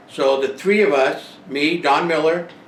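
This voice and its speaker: Noticeable background noise and audible room echo surround a man with an American accent, whose fairly high pitch keeps a fairly even intonation. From northern California (Bay Area). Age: 70s. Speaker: retiree telling his life story. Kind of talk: personal memoir monologue. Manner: halting, many fillers.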